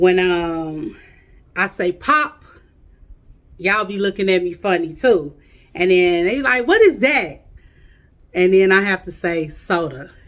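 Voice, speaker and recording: With an American accent, a woman drawls at a fairly slow pace in a medium pitch, her tone animated and her intonation lively, broken by long, frequent pauses. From Chicago, US Midwest. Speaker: video blogger. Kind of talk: casual chat. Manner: drawls, drags words.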